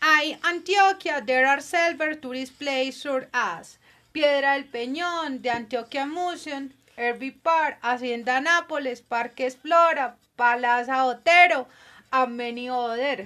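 Against a quiet background, a woman raises and projects her high-pitched voice, bright and sharp in tone, at a moderate pace with ordinary pitch variation. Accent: Colombian paisa. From Colombia, Medellín (paisa). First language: Spanish. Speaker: guest in language-class podcast. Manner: halting.

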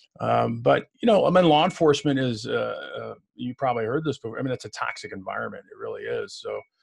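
A man with a Chicago-area accent, fairly quick and with hardly any pauses. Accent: Chicago-area Midwestern American. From Illinois, US Midwest. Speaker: retired police commander and professor. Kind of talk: casual interview chat. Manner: friendly, conversational.

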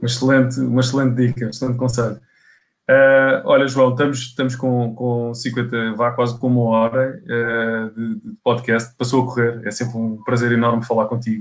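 The recording is very clean with a silent background. A man with a European Portuguese accent speaks at a moderate pace in a monotone, flat intonation. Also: medium pitch for a man. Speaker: podcast host for a property portal. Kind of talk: interview. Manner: halting.

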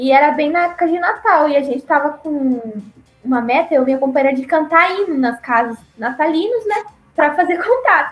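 With music in the background, a woman speaks in a southern Brazilian accent at a moderate pace. Her pitch is high and her intonation lively. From Paraná, southern Brazil. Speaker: returned missionary. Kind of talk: interview testimony.

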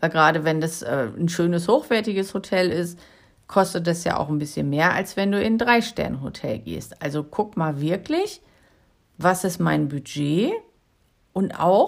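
A woman's fairly low-pitched voice at a fairly slow pace, with long, frequent pauses, on a very clean recording with a silent background. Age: 50s. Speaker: solo travel podcaster and coach. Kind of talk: solo podcast advice monologue.

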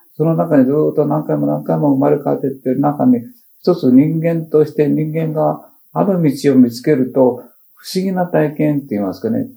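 This man's fairly high, dark and mellow voice swings very widely in pitch at a moderate pace. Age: 70s. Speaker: potter and spiritual teacher. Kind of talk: public talk to an audience. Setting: talk event with audience. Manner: halting with fillers.

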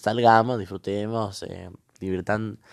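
Over a quiet background, a man speaks. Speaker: podcaster. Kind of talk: casual monologue. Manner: halting.

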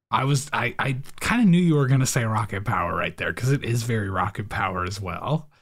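A man speaks at a fairly quick pace with a somewhat breathy voice. The recording is very clean, with a silent background. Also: medium pitch for a man, lively intonation, hardly any pauses. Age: 30s. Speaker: podcast host. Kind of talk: casual chat.

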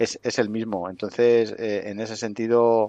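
Medium-pitched male speech with a dry, close sound and no echo. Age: 50s. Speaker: wrestling coaching school director. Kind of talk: interview. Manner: halting.

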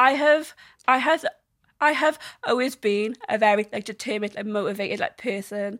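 Recorded very cleanly against a silent background, a woman with a South Welsh accent speaks at a fairly high pitch in a dry, close sound with no echo. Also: ordinary pitch variation, moderate pace. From South Wales. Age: 20s. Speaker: social media creator. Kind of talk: interview. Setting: studio. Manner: halting.

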